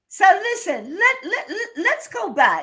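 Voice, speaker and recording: American accent at a fairly slow pace. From US. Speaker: live-stream music show host. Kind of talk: casual interview. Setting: live stream.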